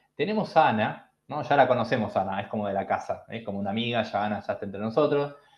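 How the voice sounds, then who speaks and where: A man is speaking. He has a Rioplatense accent. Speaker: bitcoin educator. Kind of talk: online lecture. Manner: fast; animated.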